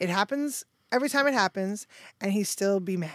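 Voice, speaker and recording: A woman speaks with a New York accent and lively intonation. Her pace is moderate, and the recording is very clean with a silent background. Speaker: manager. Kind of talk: casual chat. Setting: studio. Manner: laughs often.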